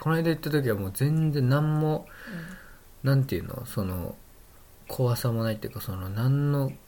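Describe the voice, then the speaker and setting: Speaking at a moderate pace with long, frequent pauses, a man has a dark, mellow tone, a medium pitch and ordinary pitch variation. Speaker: podcast host. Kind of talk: casual chat.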